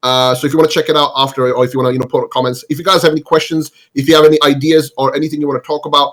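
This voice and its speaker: Speaking at a very fast pace, a man uses a fairly high pitch and has a non-native accent. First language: not English. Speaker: gaming podcast host. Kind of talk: casual group podcast chat.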